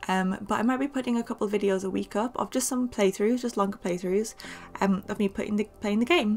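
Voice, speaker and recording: Over background music, a woman with a northern English accent speaks at a medium pitch and fairly quick pace with lively intonation. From northern England. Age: 20s. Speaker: gaming YouTuber. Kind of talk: casual voiceover Q&A. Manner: chatty, many fillers.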